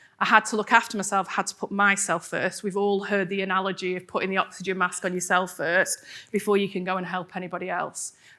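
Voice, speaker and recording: On a very clean recording with a silent background, a woman with an English accent talks at a very fast pace with hardly any pauses, using a bright, sharp tone at a medium pitch. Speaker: wellbeing coach and speaker. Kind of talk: presentation to audience. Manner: animated.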